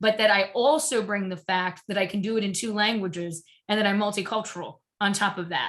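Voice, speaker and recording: This woman speaks in an American accent at a fairly high pitch. Her pace is moderate. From US, Cuban family. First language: Spanish. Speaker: diversity and inclusion professional. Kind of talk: panel discussion. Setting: online webinar. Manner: many fillers and restarts.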